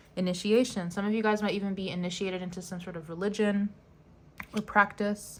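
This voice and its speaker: Her loudness swings widely as a woman of medium pitch races along at a very fast pace in a monotone, flat delivery. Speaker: tarot reader. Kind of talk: tarot reading to camera. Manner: halting, stuttering; casual, filler-heavy.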